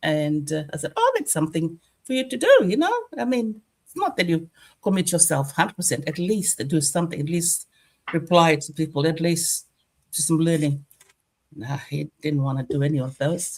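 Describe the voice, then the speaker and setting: Somewhat breathy and very deep in pitch, a woman speaks with ordinary pitch variation and long, frequent pauses. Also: moderate pace. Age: 60s. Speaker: online business owner. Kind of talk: testimony.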